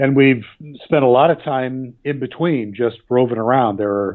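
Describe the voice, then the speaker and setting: Speaking at a moderate pace, a man with an American accent uses ordinary pitch variation. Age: 60s. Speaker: magazine writer and expat. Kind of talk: interview.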